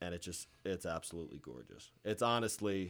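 A man with an American accent speaks at a moderate pace in a fairly low pitch with ordinary pitch variation, a plain, everyday voice. The recording is very clean with a silent background. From Pennsylvania (Moscow). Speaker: college baseball player. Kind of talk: casual interview.

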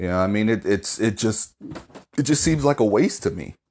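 A man speaks at a fairly low pitch. Behind him, the background is quiet. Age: 20s. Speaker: podcaster, mental health worker. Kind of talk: solo monologue. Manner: many filler words, hesitant.

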